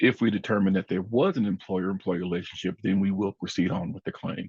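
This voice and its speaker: Talking very fast, a man uses a fairly low pitch. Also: dry, close sound with no echo. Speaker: wage and hour program supervisor presenting webinar. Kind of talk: webinar presentation. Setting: online webinar.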